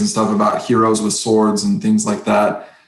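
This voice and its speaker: A man's voice with audible room echo. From Oklahoma, Creek County. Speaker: kendo instructor. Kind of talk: interview conversation.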